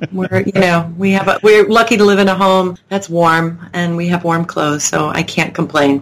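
A woman with an American accent, fairly low in pitch, at a moderate pace with fairly even intonation over noticeable background noise. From Long Island, New York. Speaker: former actor and singer. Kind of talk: casual interview.

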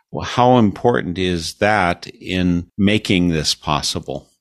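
A man with a General American accent speaks at a very deep, low pitch with ordinary pitch variation. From United States. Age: 60s. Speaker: radio host. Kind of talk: interview. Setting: video call.

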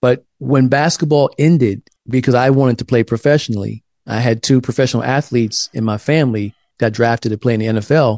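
Against a quiet background, in a dry, close sound with no echo, a man with an ordinary speaking voice talks at a fairly quick pace and medium pitch with ordinary pitch variation. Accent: American. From South Carolina. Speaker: author and theologian. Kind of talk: interview conversation. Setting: video call.

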